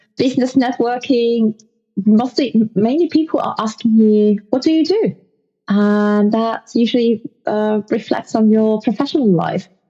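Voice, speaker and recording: Backed by music, a woman with fairly high pitch speaks at a fairly slow pace. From Poland. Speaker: podcast guest. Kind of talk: casual interview chat. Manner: halting, frequent fillers.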